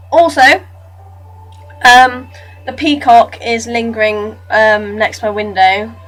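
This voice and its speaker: Over music in the background, a woman with a fairly high pitch and ordinary pitch variation talks at a very slow pace with long, frequent pauses. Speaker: vlogger raising awareness of abuse. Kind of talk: casual talk to camera. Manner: hesitant, with stutters and slips.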